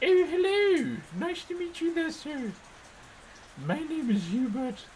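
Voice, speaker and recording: Someone uses a high-pitched, put-on character voice at a fairly slow pace. Clear background noise sits behind it. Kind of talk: posh, upper-class. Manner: polite greeting.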